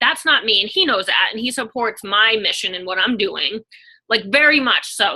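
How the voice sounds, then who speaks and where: A woman has a bright, sharp tone and a fairly high pitch. Her intonation is lively. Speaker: online fitness coach. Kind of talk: casual chat. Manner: fast.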